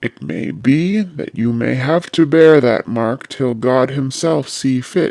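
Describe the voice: Plain reading aloud, with pitch moving in an ordinary way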